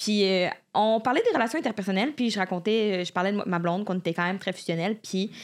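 Over a silent background in a very clean recording, a woman talks very fast at a medium pitch with ordinary pitch variation. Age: 20s. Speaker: podcast co-host. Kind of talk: quiz questions; casual chat.

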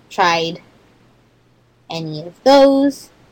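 A woman at medium pitch talks very slowly with lively intonation over noticeable background noise. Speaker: listener asking questions. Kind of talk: listener question message. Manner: halting, many fillers.

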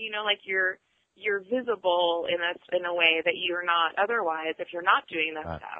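A woman talks at a moderate pace with a fairly low pitch and fairly even intonation. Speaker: artist and curator. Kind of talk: casual chat.

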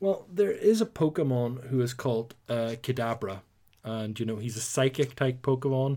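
With a Northern Irish accent, the speaker talks at a fairly quick pace in a dark, mellow tone on a very clean recording with a silent background. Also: man. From Northern Ireland. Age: 30s. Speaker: podcast host. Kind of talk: casual chat.

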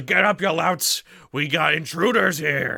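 Using a put-on character voice, a man speaks raspy and at a fairly high pitch, with lively intonation and a fairly slow pace. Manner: bossy, shouting orders.

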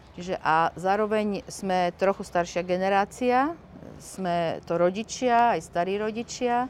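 On a very clean recording with a silent background, a woman speaks at a medium pitch. She talks at a fairly slow pace with ordinary pitch variation. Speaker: activist parent. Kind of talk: interview. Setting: outdoors. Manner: halting.

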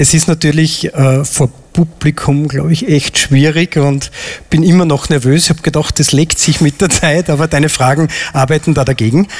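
Noticeable background noise sits behind a man with a fairly high pitch. He keeps a moderate pace, very even loudness and fairly even intonation. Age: 40s. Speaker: airline pilot, audience volunteer. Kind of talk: live stage interview. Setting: stage with audience.

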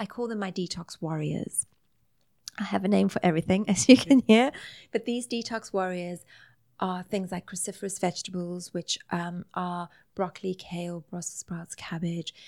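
A woman with a South African accent speaks at a moderate pace and medium pitch, her pitch varying in an ordinary way while her loudness swings widely, captured in a very clean recording with a silent background and a dry, close sound with no echo. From South Africa, Greek Italian family. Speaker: nutritional therapist. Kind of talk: interview conversation.

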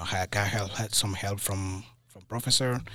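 A man with a West African accent speaks in a bright, sharp tone with fairly even intonation. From Mali, West Africa. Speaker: college alum, junior system administrator.

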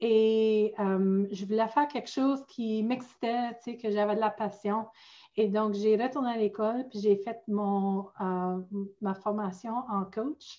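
A woman with an Ontario accent, a dark, mellow tone, fairly high pitch, fairly even intonation and a very slow pace. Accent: Franco-Ontarian. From northern Ontario, near Sudbury. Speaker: life coach. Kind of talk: casual chat. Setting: video call.

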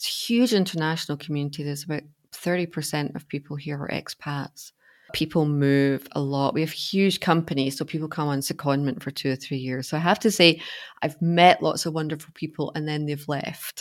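Speaking fairly quickly in a Glasgow accent, a woman with a very deep, low pitch and ordinary pitch variation is heard on a very clean recording with a silent background. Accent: Scottish (Glasgow). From Scotland, Glasgow. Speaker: life coach. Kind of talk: interview.

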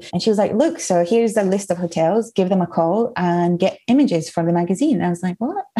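A woman's medium-pitched voice at a very fast pace with hardly any pauses, over noticeable background noise. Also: ordinary pitch variation. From Spain (Mallorca), Scottish mother. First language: Spanish. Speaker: writer. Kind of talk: casual interview chat.

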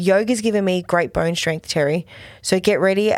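A woman with an Australian accent, medium in pitch, at a moderate pace with ordinary pitch variation. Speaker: podcast co-host. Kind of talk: casual chat reviewing TV episodes.

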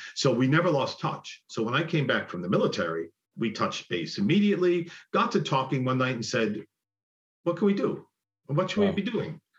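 A man with an American accent and vocal fry talks at a fairly quick pace in a fairly high voice, with very wide pitch swings. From Buffalo, New York (East Side). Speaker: musical theater actor and singer. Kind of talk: interview.

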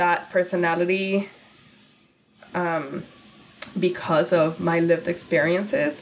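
Noticeable background noise sits behind a woman's fairly low-pitched voice. She talks at a moderate pace with fairly even intonation. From Laredo, Texas and Guadalajara, Mexico. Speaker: content creator and podcaster. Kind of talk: casual chat.

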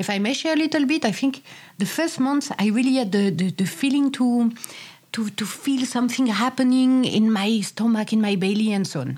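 A woman's somewhat breathy, fairly quick delivery with a non-native accent. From France. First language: French. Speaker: podcast co-host. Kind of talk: casual chat.

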